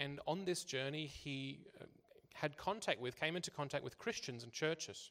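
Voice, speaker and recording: With an Australian accent, a man talks at a fairly slow pace, his fairly high pitch showing ordinary pitch variation. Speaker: church interpreter. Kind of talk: consecutive interpreting of a talk. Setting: church service. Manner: halting, with repetitions.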